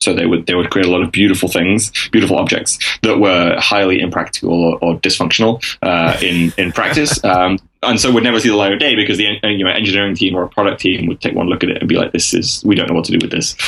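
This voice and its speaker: Someone with an English accent talks at a very fast pace with ordinary pitch variation. Noticeable background noise is present. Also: man, very deep, low pitch for a man. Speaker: freelance strategy consultant. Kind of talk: interview answer. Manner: hesitant, many fillers.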